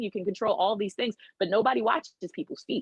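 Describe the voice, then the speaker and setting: Animated and fairly quick, a woman talks with lively intonation at a fairly high pitch. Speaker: animal trainer. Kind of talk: casual chat. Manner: loud.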